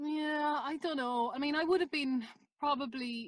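A woman with an Irish accent. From Ireland. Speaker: documentary maker. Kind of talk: interview.

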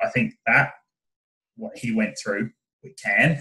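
Here is a man with an Australian accent. He talks at a moderate pace. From Tasmania, Australia. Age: 20s. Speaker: startup co-founder. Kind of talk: casual interview chat.

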